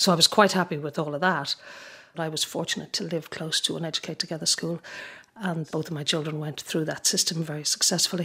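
A woman speaks at a fairly quick pace and low pitch with few pauses, fairly even intonation, a bright, sharp tone and a slightly husky edge.

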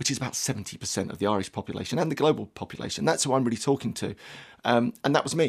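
Very fast speech with a London accent. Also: man, medium pitch for a man, ordinary pitch variation. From southeast London. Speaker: performance coach. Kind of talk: radio interview. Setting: studio.

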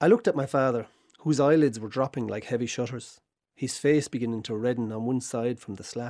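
Here a man speaks in a dark, mellow tone at a fairly quick pace. The recording is very clean, with a silent background. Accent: southern Irish. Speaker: essay contributor. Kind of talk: reading aloud.

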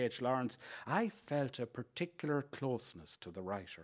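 In an Irish Midlands accent, the speaker talks at a moderate pace with very wide pitch swings, on a very clean recording with a silent background. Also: man. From Ireland, County Leitrim area. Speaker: writer reading an essay. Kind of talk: reading aloud.

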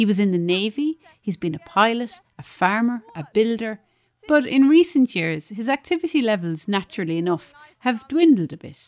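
Speaking with an Irish accent at a moderate pace, a woman with a fairly high pitch makes very wide pitch swings and big swings in loudness, in a dry, close sound with no echo. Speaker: radio reporter. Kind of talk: scripted narration.

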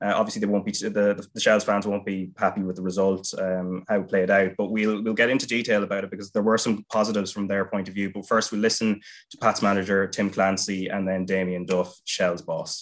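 Speaking in a fairly low voice with an Irish accent, a man keeps a monotone, flat intonation. He moves at a fairly quick pace against a quiet background. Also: hardly any pauses. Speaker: football podcast host. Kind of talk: casual chat.

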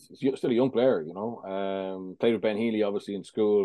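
The intonation here stays fairly even. It is a man talking in an Irish accent. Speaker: rugby pundit. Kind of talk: podcast analysis.

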